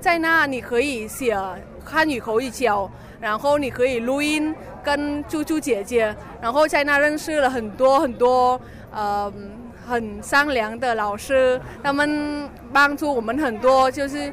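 A woman with a Vietnamese accent speaks at a fairly slow pace in a high pitch with ordinary pitch variation. Noticeable background noise runs under her voice. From Vietnam, Hanoi. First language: Vietnamese (speaking Chinese). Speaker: international student. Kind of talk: interview at exhibition booth. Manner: halting.

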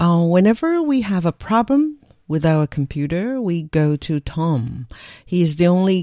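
A woman's dark, mellow tone with lively intonation and a Chinese accent, in a dry, close sound with no echo against a quiet background. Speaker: language podcast co-host. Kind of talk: casual language lesson chat.

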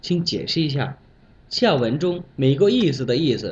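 The man speaks at a fairly slow pace. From Bangladesh. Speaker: Chinese language learner. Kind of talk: prepared talk with told anecdote. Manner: animated.

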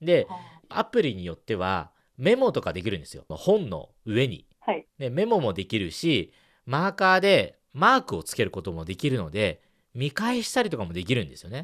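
A man speaks at a moderate pace in a medium pitch, his voice swinging very widely in pitch and loudness changing a lot. There is vocal fry, and the background is quiet. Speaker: radio host. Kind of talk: advice segment interview. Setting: studio.

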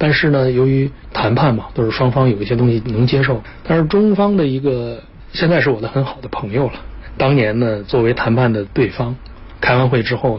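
Over noticeable background noise, a man speaks at a fairly quick pace and medium pitch with ordinary pitch variation. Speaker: business executive. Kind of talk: interview. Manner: frequent filler pauses.

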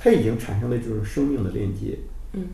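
A man's voice with audible room echo. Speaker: documentary film director. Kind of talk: interview.

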